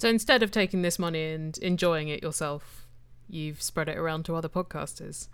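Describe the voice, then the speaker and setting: With a British accent, the speaker moves at a fairly quick pace and ordinary pitch variation on a very clean recording with a silent background. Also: woman, fairly low pitch for a woman. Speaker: interviewer, podcaster. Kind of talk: interview. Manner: witty, jokey.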